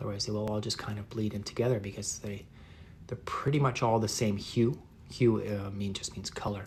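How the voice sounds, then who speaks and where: A man talks fairly quickly in a fairly low voice. His intonation is fairly even and his sound somewhat breathy. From northeast England. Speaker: artist. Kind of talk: live painting tutorial and chat. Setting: livestream. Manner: relaxed, many fillers.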